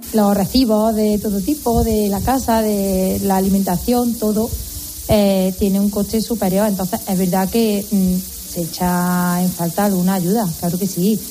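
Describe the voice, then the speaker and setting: Over noticeable background noise, a woman holds a very even loudness, with a medium pitch and fairly even intonation. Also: fairly slow pace. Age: 40s. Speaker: new mother. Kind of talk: casual interview. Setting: hospital.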